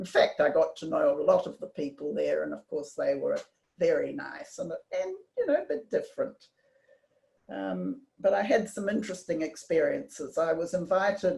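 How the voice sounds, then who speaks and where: With a New Zealand accent, a woman speaks at a moderate pace. Her loudness swings widely. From New Zealand, Auckland. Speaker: community member telling life story. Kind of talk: personal storytelling talk. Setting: video call. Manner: halting.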